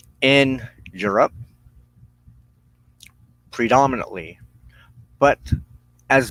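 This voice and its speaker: A man's medium-pitched voice with ordinary pitch variation, dry and close with no echo. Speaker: witchcraft practitioner and minister. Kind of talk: weekly broadcast talk on religion.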